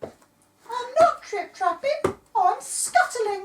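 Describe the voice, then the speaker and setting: A put-on character voice, squeaky and extremely high in pitch. It moves at a very slow pace. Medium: read story.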